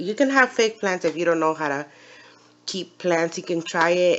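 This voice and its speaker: A mumbling woman with a fairly low pitch. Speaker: aquarium hobbyist youtuber. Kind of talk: casual tutorial. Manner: halting, hesitant.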